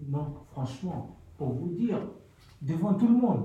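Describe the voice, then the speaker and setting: Audible room echo surrounds a man who talks at a very slow pace in a high pitch, his voice making very wide pitch swings. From Mali. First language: a Malian language (speaking French). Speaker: cook, homeless person. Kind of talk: radio testimony. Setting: community radio studio.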